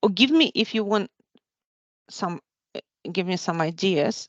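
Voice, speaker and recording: A woman with a non-native accent, fairly low in pitch, with ordinary pitch variation and a moderate pace, dry and close with no echo. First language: not English. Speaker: tech presenter. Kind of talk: live software demo. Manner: halting, many restarts.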